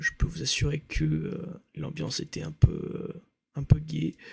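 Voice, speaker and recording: A man is speaking. His pace is very slow. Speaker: ASMR creator. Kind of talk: rambling casual talk to camera, ASMR. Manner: soft-spoken, hesitant with many fillers.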